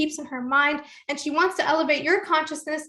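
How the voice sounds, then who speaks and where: Raised and projected, the voice moves at a fairly quick pace with a bright, sharp tone and fairly even intonation. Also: woman. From Toronto, Canada. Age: 20s. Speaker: entrepreneur and webinar host. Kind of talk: webinar introduction. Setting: online webinar call.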